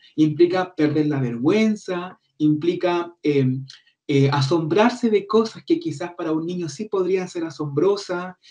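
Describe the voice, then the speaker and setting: Here a man talks at a high pitch with ordinary pitch variation. His tone is dark and mellow, and his pace is fairly slow. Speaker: speech therapist. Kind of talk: seminar talk.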